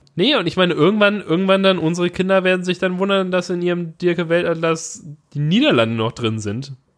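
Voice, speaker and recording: A high-pitched man with lively intonation. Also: fairly quick pace. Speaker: podcast co-host. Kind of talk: casual chat.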